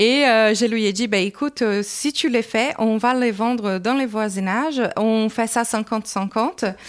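Speech moves at a very slow pace with hardly any pauses, very even loudness, and fairly even intonation. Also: woman, fairly high pitch for a woman. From Brazil. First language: Portuguese (speaking French). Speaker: entrepreneur. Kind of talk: interview. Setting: business incubator building, walking tour.

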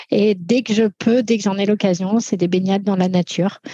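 A woman speaks at a medium pitch, her voice somewhat breathy. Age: 40s. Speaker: firefighter. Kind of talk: interview. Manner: halting.

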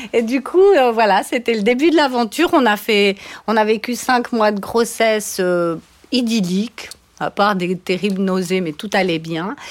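A woman with an ordinary speaking voice talks fairly slowly, her fairly high pitch carrying lively intonation. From Switzerland, Valais. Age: 50s. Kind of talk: interview. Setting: studio.

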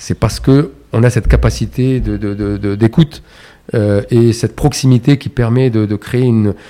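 Here a man speaks in a dark, mellow tone with fairly even intonation. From Morocco, Casablanca. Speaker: chartered accountant and entrepreneur. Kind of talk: interview conversation. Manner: hesitant, many fillers and repetitions.

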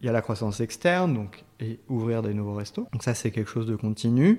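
A man's medium-pitched voice at a moderate pace. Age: 30s. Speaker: restaurant chain co-founder. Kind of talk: interview. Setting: office. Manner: hesitant, many fillers.

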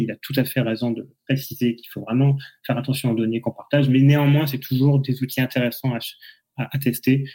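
Monotone and flat in intonation, a man speaks at a medium pitch with a dark, mellow tone. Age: 30s. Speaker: former lawyer, AI ethics newsletter writer. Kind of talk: casual chat. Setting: live podcast recorded on LinkedIn.

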